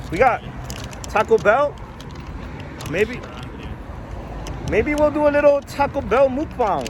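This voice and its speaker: Noticeable background noise runs under this recording. A man speaks at a fairly slow pace with ordinary pitch variation. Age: 20s. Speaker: vlogger. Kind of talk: casual vlog chat with friends.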